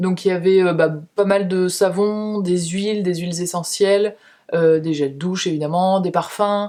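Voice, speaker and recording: With a dark, mellow tone, a woman speaks at a medium pitch and fairly even intonation. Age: 30s. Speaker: beauty and lifestyle youtuber. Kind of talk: casual monthly favourites vlog. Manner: fast. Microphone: cheap camera-mounted mic with noise reduction.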